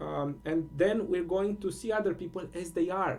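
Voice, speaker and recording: The pace is fairly slow. The speaker has a Romanian accent. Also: man. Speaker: spiritual teacher. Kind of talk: solo monologue contemplation. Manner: halting, many fillers.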